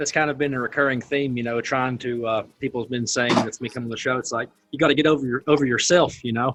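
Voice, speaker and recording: Very fast, hardly pausing speech from a medium-pitched man with a Southern accent and fairly even intonation, over music in the background. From US South. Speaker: podcast host. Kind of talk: interview.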